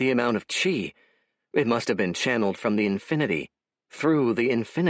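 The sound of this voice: Over a quiet background, an unforced reading voice is heard.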